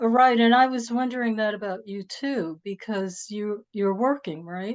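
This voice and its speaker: With a New York accent, a woman speaks at a moderate pace and a fairly high pitch with ordinary pitch variation. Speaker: moderator of literary conversation series. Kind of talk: casual chat. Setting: video call.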